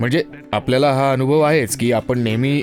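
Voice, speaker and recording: Background music plays throughout. The man's pitch varies in an ordinary way. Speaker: voice actor. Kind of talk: dubbed interview answer.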